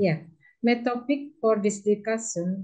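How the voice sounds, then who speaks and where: A dark, mellow, somewhat breathy voice with ordinary pitch variation at a fairly slow pace. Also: woman. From Indonesia, Madura. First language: Indonesian or Madurese. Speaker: law lecturer. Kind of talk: conference presentation. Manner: halting.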